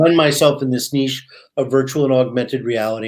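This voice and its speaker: A man with a plain, everyday voice speaks at a fairly quick pace, a medium pitch and fairly even intonation. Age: 60s. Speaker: VR/AR writer and teacher, former media executive. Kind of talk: interview. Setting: live podcast.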